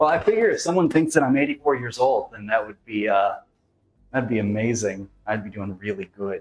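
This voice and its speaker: At a fairly quick pace, a man talks with medium pitch and lively intonation. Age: 40s. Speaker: juggling and fitness streamer. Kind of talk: casual live stream chat. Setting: live stream. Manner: halting, many fillers.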